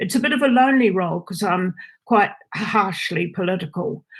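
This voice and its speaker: A woman speaks with a somewhat breathy voice. Her pitch rises and falls in an ordinary way. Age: 80s+. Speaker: social and political gerontologist. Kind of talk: public hearing submission. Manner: halting, many fillers.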